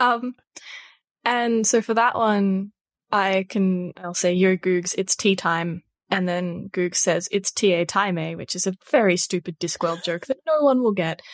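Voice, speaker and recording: In an Australian accent, a woman with a medium pitch and ordinary pitch variation speaks fairly slowly. The sound is dry and close, with no echo. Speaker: tech journalist. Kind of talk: casual chat. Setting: remote recording.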